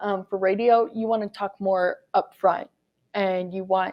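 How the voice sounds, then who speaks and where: A woman speaks at a moderate pace with a medium pitch. Her intonation stays fairly even. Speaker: radio reporter. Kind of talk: talk to students. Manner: projecting.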